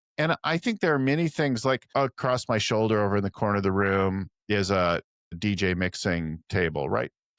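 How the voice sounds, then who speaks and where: In a very clean recording with a silent background and a dry, close sound with no echo, a man with a fairly low pitch speaks at a fairly quick pace. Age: 60s. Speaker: business coach. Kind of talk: interview conversation. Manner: hesitant, many repetitions and fillers.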